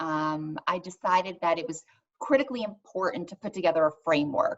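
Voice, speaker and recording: At a moderate pace, a woman of medium pitch talks in an ordinary speaking voice. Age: 40s. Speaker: wellness founder. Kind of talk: interview.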